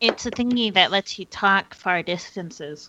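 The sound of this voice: A female-sounding voice at medium pitch performs a put-on character voice at a moderate pace.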